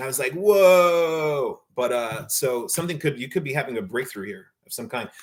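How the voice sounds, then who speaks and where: A man with fairly high pitch, lively intonation, and a fairly quick pace. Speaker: tarot reader. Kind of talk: tarot reading. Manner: fast; casual, filler-heavy.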